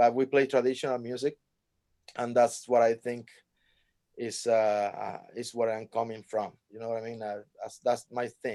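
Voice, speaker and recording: A man with a Cuban accent, medium pitch and a dark, mellow tone, monotone and flat, at a moderate pace with big swings in loudness. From Cuba, Havana. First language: Spanish. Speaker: jazz trumpet player. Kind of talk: interview. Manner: halting, many fillers and restarts.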